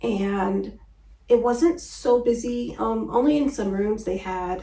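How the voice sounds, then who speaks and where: A soft-spoken woman talks in a room with audible echo. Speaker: travel vlogger. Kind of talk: casual vlog talk to camera.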